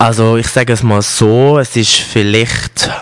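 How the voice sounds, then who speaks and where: A man has an ordinary speaking voice. His pitch is medium and his intonation fairly even. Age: 20s. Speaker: make-up artist and store manager. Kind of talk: interview.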